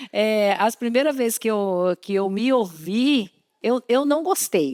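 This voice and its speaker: At a very slow pace, a woman speaks with lively intonation in a very clean recording with a silent background and a dry, close sound with no echo. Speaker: program presenter. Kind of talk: interview on a church program. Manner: hesitant, repeating words.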